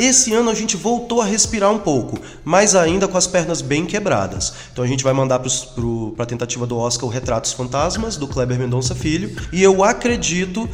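A man talking at a fairly quick clip, his pitch swinging very widely, with audible room echo and noticeable background noise. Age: 40s. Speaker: singer, DJ and radio host. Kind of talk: interview.

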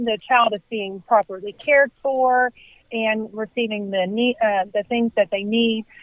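Fairly high in pitch, a woman speaks with fairly even intonation in a Southern US accent. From US South (Hendersonville, Tennessee). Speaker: nonprofit executive. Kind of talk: radio interview.

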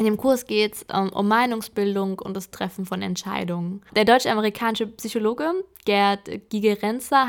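A woman with an ordinary speaking voice and fairly high pitch talks at a moderate pace with ordinary pitch variation, on a very clean recording with a silent background. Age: 20s. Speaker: podcaster. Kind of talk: personal monologue podcast.

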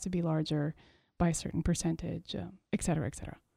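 Someone with a Montreal accent talks very fast in a dark, mellow tone. There is vocal fry, and the pitch varies in an ordinary way. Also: woman. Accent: Montreal anglophone Canadian English. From Quebec, Montreal. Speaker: artist. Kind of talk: interview conversation.

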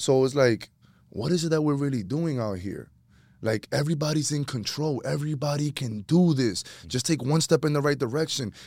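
A man with an American accent speaks at a fairly quick pace in a plain, everyday voice, his pitch fairly high with ordinary variation. The recording is very clean, with a silent background. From New York City, Washington Heights. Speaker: real estate investor and former teacher. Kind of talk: casual chat.

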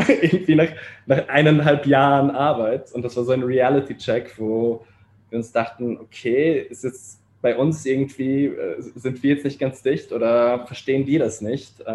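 Fairly even intonation accompanies a fairly slow pace. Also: man, medium pitch for a man. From Austria and Poland (Vienna). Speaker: startup co-founder. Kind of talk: interview. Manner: halting, many fillers.

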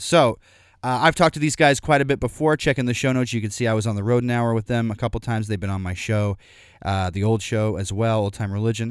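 A man with an American accent speaks at a very fast pace and medium pitch on a very clean recording with a silent background. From Missouri and Arkansas, US. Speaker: podcast host. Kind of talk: casual interview chat.

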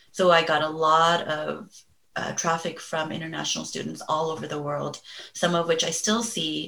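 A woman talks at a moderate pace with a very deep, low pitch. Her intonation is fairly even, and the room echo is audible. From Los Angeles, US. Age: 40s. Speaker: mental health therapist. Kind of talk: interview.

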